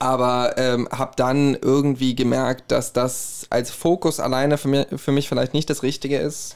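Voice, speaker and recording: With a slight Hessian accent, a man speaks at a medium pitch in a monotone, flat delivery with hardly any pauses. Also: moderate pace, very even loudness. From Hesse, Herborn. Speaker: musician and podcaster. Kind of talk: casual chat.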